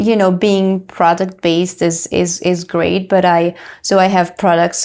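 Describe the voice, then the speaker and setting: A woman speaks with a French accent in a fairly low voice. Her delivery is flat and monotone at a fairly slow pace. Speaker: entrepreneur and health coach. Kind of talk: interview. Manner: halting, many fillers.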